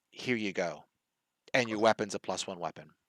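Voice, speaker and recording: Using a put-on character voice, a man speaks at a fairly quick pace in a fairly low pitch. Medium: actual play.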